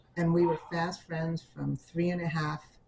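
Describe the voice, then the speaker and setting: A woman speaks in a very deep, low pitch with a somewhat breathy quality. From New York City, the Bronx. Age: 70s. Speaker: oral history interviewee. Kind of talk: oral history interview. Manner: halting.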